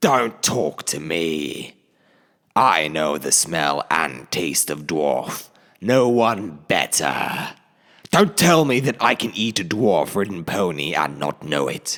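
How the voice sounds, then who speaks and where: A put-on character voice delivers the lines at a fairly slow pace. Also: man, very deep, low pitch for a man. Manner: taunting, menacing.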